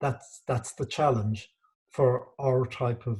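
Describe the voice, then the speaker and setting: A man with a Cork accent speaks at a medium pitch, his dark, mellow tone somewhat breathy. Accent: Irish, Cork, kept. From Ireland, Cork. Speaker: museum director. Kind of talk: interview. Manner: halting, many fillers.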